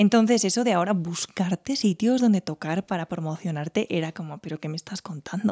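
With a quiet background behind her, a woman speaks at a moderate pace with lively intonation. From Spain, Teruel; Spain. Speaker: violinist; podcast guest. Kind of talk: interview. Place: home room. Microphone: studio mic.

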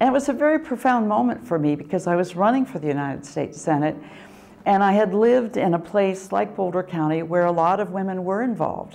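A woman with an American accent, dark and mellow in tone, very fast, with very wide pitch swings. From rural Oregon. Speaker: community foundation president. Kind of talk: interview testimony. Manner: hesitant, with fillers. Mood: warm, reflective. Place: home room.

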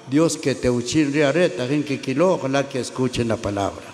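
At a moderate pace, a man talks at medium pitch with ordinary pitch variation, a slightly mellow tone and vocal fry over faint background noise.

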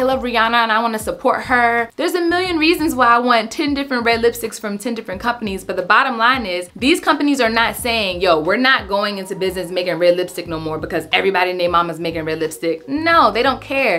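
At a very fast pace with hardly any pauses, a woman talks in a fairly high voice that swings very widely in pitch. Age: 30s. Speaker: lifestyle content creator. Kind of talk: casual vlog tutorial. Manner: animated. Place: home room.

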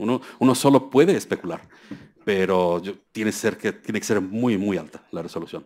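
A man talks at a fairly quick pace with ordinary pitch variation. His pitch sits fairly low. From Mexico. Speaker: scientist at a US federal agency; lecturer. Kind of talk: keynote lecture. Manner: halting, many fillers. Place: hall.

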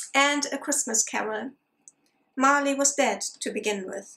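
Her tone fairly bright, a woman speaks at a fairly slow pace with fairly even intonation.

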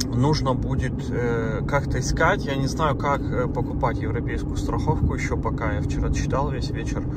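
Over loud background noise, a man speaks at a moderate pace with hardly any pauses, the sound dry with no echo. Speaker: travel vlogger. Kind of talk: casual vlog chat. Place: car. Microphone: phone near.

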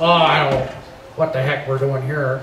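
Over clear background noise and a slight echo, a man puts on a character voice at medium pitch, speaking at a moderate pace in a flat monotone. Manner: crabby, confused.

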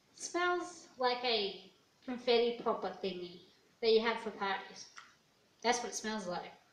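A woman talks at a fairly slow pace with lively intonation and long, frequent pauses. Audible room echo and light background noise surround her voice. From Australia. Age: 20s. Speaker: YouTuber. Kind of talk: casual vlog. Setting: at home alone. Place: home room. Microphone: handheld.

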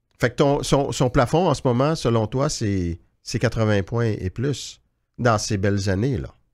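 Lively intonation marks this man's speech. He talks at a very slow pace against a quiet background. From Quebec. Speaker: hockey journalist, podcast host. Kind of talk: casual chat. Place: studio. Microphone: studio mic.

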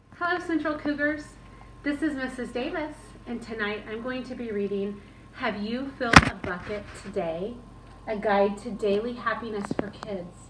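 Noticeable background noise behind a woman's moderate pace. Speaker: school teacher. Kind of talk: bedtime story read-aloud to children. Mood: warm, gentle, expressive. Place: home room. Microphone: camera far.

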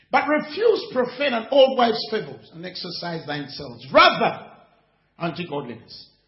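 In a quiet background with audible room echo, a man speaks at a moderate pace. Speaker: preacher. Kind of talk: sermon. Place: hall.

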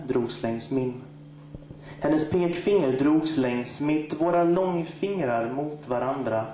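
A man's fairly high voice at a very slow pace, with ordinary pitch variation, audible room echo and light background noise. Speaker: guest poet. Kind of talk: poetry slam performance, spoken word poetry. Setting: stage with audience. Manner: rhythmic, wordplay-heavy delivery with repeated phrases and deliberate pauses. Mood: soft, sensual, intimate. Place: stage.

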